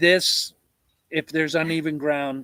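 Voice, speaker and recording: The recording has a dry, close sound with no echo. A man speaks at a fairly high pitch. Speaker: homesteader livestreamer. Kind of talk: casual live chat. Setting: livestream at home. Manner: loud.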